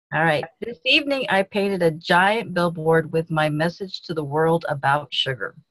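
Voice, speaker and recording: Here is a woman with a normal speaking voice, fairly low in pitch, moving at a moderate pace with lively intonation and hardly any pauses. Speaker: peer coach in practice session. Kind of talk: coaching exercise.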